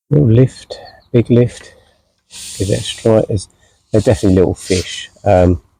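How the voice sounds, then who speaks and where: Quiet and at a moderate pace, a man speaks with long, frequent pauses in a dry, close sound with no echo. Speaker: angler. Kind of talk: live commentary. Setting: outdoors.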